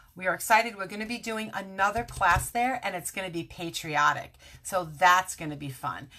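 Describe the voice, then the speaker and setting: A woman speaks in an animated tone with an American accent. Her tone is bright and sharp. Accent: Brooklyn accent, stronger when tired. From Brooklyn, New York. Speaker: craft demonstrator. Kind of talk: live stream craft tutorial. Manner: chatty, animated.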